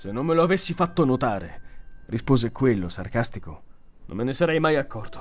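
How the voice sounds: Lively intonation in a natural reading voice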